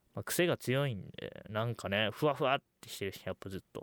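A man's fairly quick, lively-toned speech, dry and close with no echo, on a very clean recording with a silent background. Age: under 20. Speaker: solo podcast host. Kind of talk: casual monologue.

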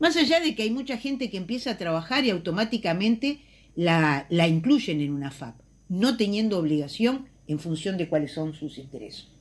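Moderate pace, big swings in loudness and very wide pitch swings on a very clean recording with a silent background. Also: woman, medium pitch for a woman. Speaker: politician. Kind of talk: recorded column.

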